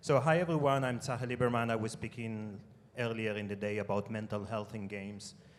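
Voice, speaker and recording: The speech comes at a fairly quick pace with ordinary pitch variation and audible room echo. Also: man, medium pitch for a man. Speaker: game studio head. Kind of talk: conference panel discussion. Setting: stage with audience.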